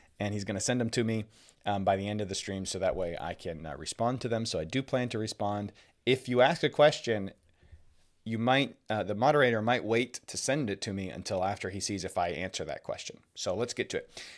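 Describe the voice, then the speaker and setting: Recorded very cleanly against a silent background, the voice moves at a fairly quick pace with ordinary pitch variation. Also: man, fairly low pitch for a man. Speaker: Bible teacher. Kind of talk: livestream Bible teaching. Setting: livestream. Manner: fast; halting with fillers.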